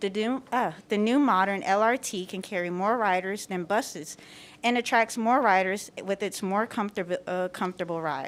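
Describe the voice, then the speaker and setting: A woman speaks in an ordinary speaking voice at medium pitch and a moderate pace, with ordinary pitch variation on a very clean recording against a silent background. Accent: American. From US South, southwest Atlanta. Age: 20s. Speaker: public commenter, small business owner. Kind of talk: public comment at board meeting. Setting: public board meeting.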